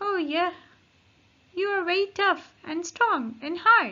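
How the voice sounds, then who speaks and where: Woman in a put-on character voice, extremely high-pitched and fairly slow. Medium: read story. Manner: friendly, explanatory.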